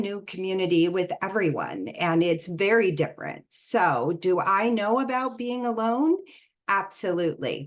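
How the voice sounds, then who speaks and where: A woman with an American accent, very wide pitch swings and a fairly slow pace. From US, Northern Virginia. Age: 60s. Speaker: empowerment coach. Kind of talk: online talk.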